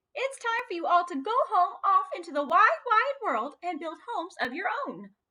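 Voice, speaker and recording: A woman, pitched extremely high, adopts a put-on character voice and talks at a moderate speed. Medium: read story.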